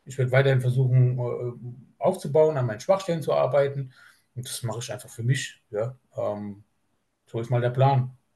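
This man's voice has a medium pitch, a dark, mellow tone and a somewhat breathy quality, moving at a moderate pace with ordinary pitch variation and big swings in loudness. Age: 30s. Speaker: bodybuilder. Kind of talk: casual chat. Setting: video call. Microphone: laptop on LAN cable.

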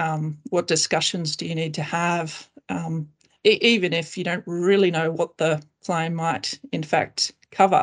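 This woman has a normal speaking voice, fairly low in pitch, with fairly even intonation and a fairly slow pace. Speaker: class actions lawyer. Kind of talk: professional panel discussion.

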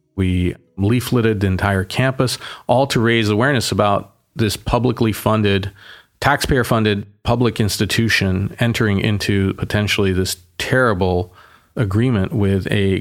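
An ordinary speaking voice from a man comes through a very clean recording with a silent background, fairly low in pitch, with very even loudness, fairly even intonation and a moderate pace. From Boston, US. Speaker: mayor. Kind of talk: casual interview conversation.

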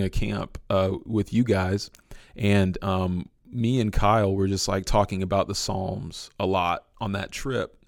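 A man's plain, everyday voice, fairly low in pitch and fairly slow, with fairly even intonation on a very clean recording with a silent background. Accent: American. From San Francisco, California. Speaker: musician and worship leader. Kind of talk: casual interview chat.

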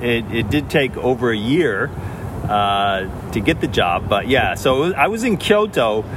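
Over noticeable background noise and audible room echo, a man with a Northeastern US accent talks at a fairly slow pace and a medium pitch. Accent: American (Northeast). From upstate New York. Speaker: educator and writer. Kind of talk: interview. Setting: outdoors in a park.

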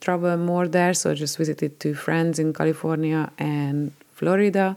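A woman speaks with a Hungarian accent. Her voice sits fairly low, and her intonation stays fairly even. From Hungary. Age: 40s. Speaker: podcast host. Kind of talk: personal storytelling monologue.

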